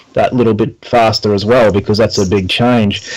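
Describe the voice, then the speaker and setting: Using fairly even intonation, a man with an Australian accent talks at a fairly quick pace and a medium pitch. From Brisbane, Australia. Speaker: personal trainer and podcast host. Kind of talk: casual interview.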